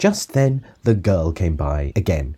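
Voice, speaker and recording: A man's dark, mellow, somewhat breathy voice moves in very wide pitch swings. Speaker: father reading a children's book aloud. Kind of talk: rhyming narration, storybook narrator. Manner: expressive.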